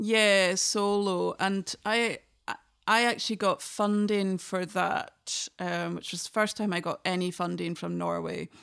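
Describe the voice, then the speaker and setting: Speaking at a fairly slow pace, a woman talks with a Scottish Highland accent. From northern Scotland, Inverness. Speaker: traditional fiddler. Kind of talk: casual interview conversation.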